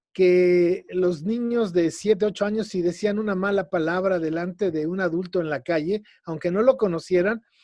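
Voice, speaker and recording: Over a quiet background, a man with a central Mexican accent speaks at a moderate pace with hardly any pauses, his high-pitched voice having a dark, mellow tone and fairly even intonation. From Mexico City. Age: 60s. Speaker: educator and lecturer on ancient Mexican culture. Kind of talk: radio interview.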